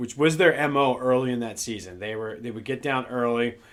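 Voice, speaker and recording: A man with an American accent, ordinary pitch variation, and noticeable background noise. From Philadelphia area, US. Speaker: sports podcaster. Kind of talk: casual sports podcast monologue. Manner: halting, repeats words.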